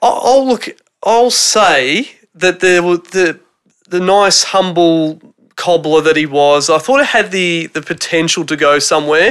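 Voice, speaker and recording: This speaker has an Australian accent and a fairly slow pace. The pitch varies in an ordinary way. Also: man, high pitch for a man. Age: 30s. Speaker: returning podcast guest. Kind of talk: casual chat. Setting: home theatre room.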